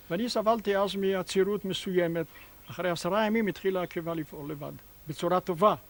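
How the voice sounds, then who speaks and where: This man has a high pitch with ordinary pitch variation. He keeps a moderate pace. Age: 80s+. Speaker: farmer and natural health instructor. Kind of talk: interview answer.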